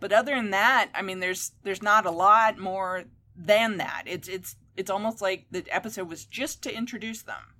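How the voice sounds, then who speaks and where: A woman with a normal speaking voice talks at a moderate pace and medium pitch, with fairly even intonation and big swings in loudness, on a very clean recording with a silent background. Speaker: author and geek website editor. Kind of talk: casual chat.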